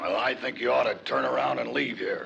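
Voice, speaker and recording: Someone speaks in a raspy, put-on character voice at a fairly quick pace. Clear background noise is present. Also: man. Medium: short film. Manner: sly, amused, chuckling.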